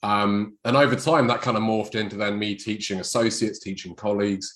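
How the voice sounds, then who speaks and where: A man speaks with a fairly low pitch in a British accent, his intonation monotone and flat. The recording is very clean, with a silent background. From England. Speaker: chiropractor.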